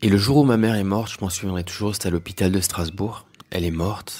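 Intonation stays fairly even as the words come fairly quickly. The background is silent on a very clean recording. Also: man. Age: 40s. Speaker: spiritual teacher. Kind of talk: personal testimony monologue. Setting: solo audio recording.

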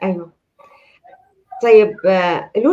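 A woman with a Levantine accent. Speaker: talk show host and life coach; talk show host, life coach. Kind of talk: live talk show. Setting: video call. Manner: warm, welcoming. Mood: warm, friendly. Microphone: video call.

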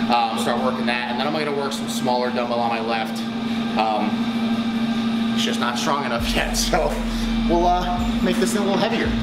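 Loud background noise behind a man speaking fairly quickly. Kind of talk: casual vlog chat. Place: gym. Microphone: phone near.

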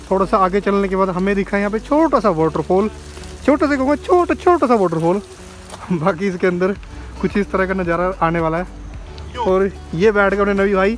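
Over faint music in the background, a man speaks at a high pitch and a moderate pace with ordinary pitch variation and a dry sound with no echo. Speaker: travel vlogger. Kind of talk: casual vlog chat. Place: open country. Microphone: phone near.

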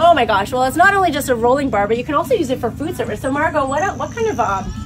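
Over noticeable background noise, a woman talks at a very fast pace and high pitch. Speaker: interviewer, host. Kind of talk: interview questions, promotional host talk. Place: open country. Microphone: camera far.

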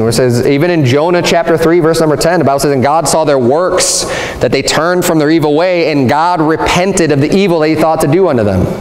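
A man with a fairly high pitch talks at a fairly quick pace with hardly any pauses and very even loudness. Ordinary pitch variation and audible room echo are present. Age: 40s. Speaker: pastor. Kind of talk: sermon. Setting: church. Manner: earnest, teaching-style pulpit delivery, emphatic and repetitive; conversational, explanatory, with frequent self-restarts. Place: church.

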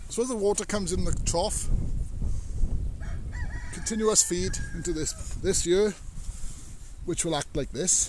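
The pace is moderate, with long, frequent pauses. The tone is slightly mellow. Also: man.

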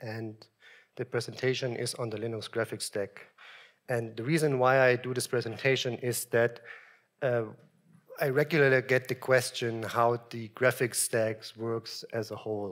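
Over a quiet background, a man speaks at a moderate pace. His intonation is monotone and flat. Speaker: software engineer giving a conference talk; conference presenter. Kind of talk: technical presentation. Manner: hesitant, many ums. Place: hall.

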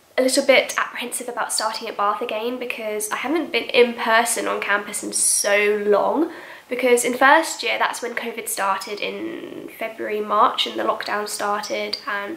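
Against audible room echo, a woman speaks at a moderate pace with ordinary pitch variation. She leaves hardly any pauses. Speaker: vlogger. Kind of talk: casual vlog chat. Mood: cheerful, laughs often. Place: home room.

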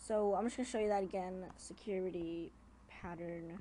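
A woman's dark, mellow tone at a fairly slow pace with fairly even intonation. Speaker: amateur phone hacking tutorial maker. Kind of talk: casual screen-recorded tutorial. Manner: casual, informal.

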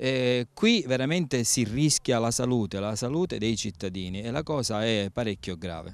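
Against a quiet background, a man's pitch swings very widely in a dry sound with no echo. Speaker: local politician or spokesman. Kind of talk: interview answer. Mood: indignant, urgent complaint. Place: open country. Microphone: handheld.

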